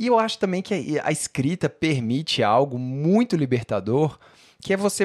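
A man with a fairly high pitch and very wide pitch swings talks at a moderate pace, his voice dry and close with no echo in a very clean recording over a silent background. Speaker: writer and podcast co-host. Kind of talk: casual chat.

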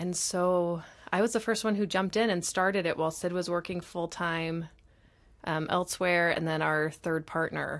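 A woman with an American accent speaks in an ordinary speaking voice, fairly low in pitch, at a moderate pace. Her intonation is fairly even, and the background is quiet. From US South (Texas, Alabama). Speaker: entrepreneur's spouse and business partner. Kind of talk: casual chat.

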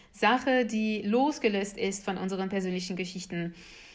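A woman with a French accent and fairly even intonation, over noticeable background noise. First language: French (speaking German). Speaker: activist and political scientist, author. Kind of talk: interview.

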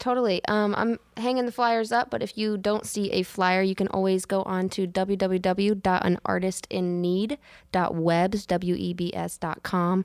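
In a normal speaking voice, a woman talks at a fairly slow pace with hardly any pauses, her medium pitch showing ordinary variation, on a very clean recording with a silent background. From Virginia, US. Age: 20s. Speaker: college student and artist. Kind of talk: casual interview chat. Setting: studio.

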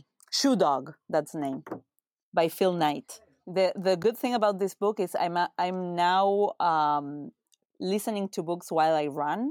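A woman with a Spanish accent speaks at a fairly low pitch and a fairly slow pace. Her pitch varies in an ordinary way, and the sound is dry and close with no echo. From Uruguay. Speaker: retail executive. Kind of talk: interview.

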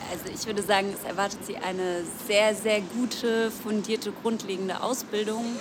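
At a moderate pace, a woman speaks with a fairly high pitch and monotone, flat intonation, amid noticeable background noise and audible room echo. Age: 20s. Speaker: tailor and union youth representative. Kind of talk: interview. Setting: café.

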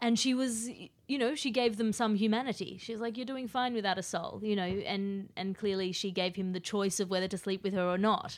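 A woman with an Australian accent talks at a fairly quick pace with hardly any pauses. Her medium-pitched voice has ordinary pitch variation, on a very clean recording with a silent background. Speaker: podcaster and comedian. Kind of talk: casual chat.

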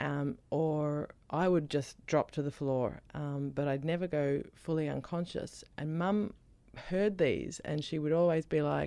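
With an Australian accent, a woman talks at a fairly slow pace. Her voice has a very deep, low pitch and a dark, mellow tone. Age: 40s. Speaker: author and comedian with epilepsy. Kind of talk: radio interview.

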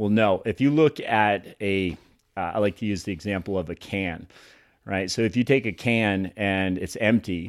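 A man with an American accent and a normal speaking voice talks at a moderate pace with a fairly low pitch and ordinary pitch variation. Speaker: personal trainer. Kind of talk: casual chat. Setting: studio.

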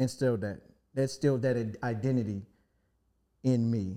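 Speaking at a medium pitch with an American accent, a man has a dark, mellow tone and fairly even intonation. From Washington, D.C. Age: 40s. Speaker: rapper and producer. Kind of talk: casual chat.

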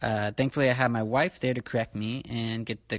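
A man's normal speaking voice, fairly low in pitch, with fairly even intonation at a moderate pace, in a very clean recording with a silent background. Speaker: podcast host. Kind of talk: casual family interview. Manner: warm, conversational.

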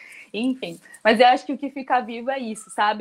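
A woman talks at a fairly quick pace with fairly even intonation in an ordinary speaking voice. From São Vicente, São Paulo coast, Brazil. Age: 20s. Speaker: social project coordinator. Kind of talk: interview. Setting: radio studio with video call.

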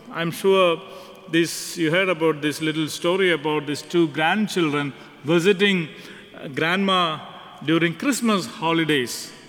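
This man has a high pitch and ordinary pitch variation, speaking at a fairly slow pace. Noticeable background noise runs under his voice. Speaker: priest. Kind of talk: homily. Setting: church.

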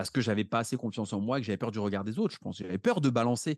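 A man speaks in an animated tone at a medium pitch with ordinary pitch variation. The sound is dry and close with no echo, and the background is quiet. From France, Paris. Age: 30s. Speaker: real estate investor. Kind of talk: podcast interview.

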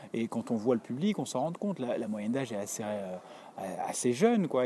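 With a dark, mellow tone and lively intonation, a man talks at a very fast pace. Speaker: podcaster correspondent. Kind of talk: audio report. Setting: theatre stairway, walking. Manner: hesitant, many fillers.

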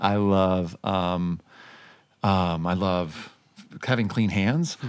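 A man speaks in an enthusiastic, passionate tone. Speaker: podcast host. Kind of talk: interview with guided exercise.

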